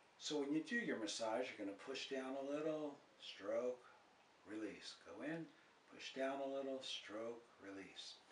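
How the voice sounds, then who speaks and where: In a room with audible echo and light background noise, a man talks fairly slowly with ordinary pitch variation. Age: 70s. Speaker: health video presenter. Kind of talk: tutorial.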